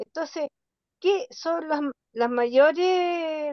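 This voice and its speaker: This woman has a high pitch and lively intonation. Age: 70s. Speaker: workshop participant. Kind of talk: question from audience. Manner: hesitant, many fillers.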